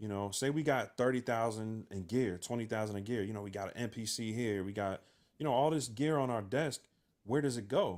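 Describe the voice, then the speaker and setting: A man's medium-pitched voice with ordinary pitch variation, at a fairly quick pace, in a very clean recording with a silent background. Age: 30s. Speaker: music producer podcast host. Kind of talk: casual chat. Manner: halting, many fillers.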